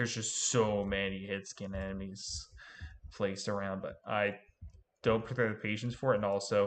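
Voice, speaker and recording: A man talks at a fairly quick pace in a fairly low pitch. The background is quiet. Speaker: gaming streamer. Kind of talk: live gameplay commentary. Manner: loud; casual, halting.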